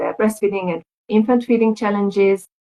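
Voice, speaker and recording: In a Hungarian accent, a woman speaks with a dark, mellow tone and flat, monotone intonation. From Hungary. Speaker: lactation consultant. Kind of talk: casual chat.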